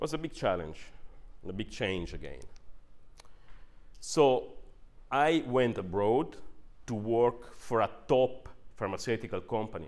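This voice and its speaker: Speaking at a fairly slow pace with an Italian accent, a man leaves long, frequent pauses. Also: medium pitch for a man. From northern Italy. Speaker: neuroscientist and managing director. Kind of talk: workshop presentation. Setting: workshop with audience.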